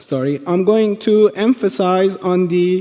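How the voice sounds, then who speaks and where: A man with a Persian accent speaks at a very slow pace in a high pitch, with ordinary pitch variation. There is noticeable background noise. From Iran. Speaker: presenter. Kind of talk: presentation. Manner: halting, many fillers and restarts.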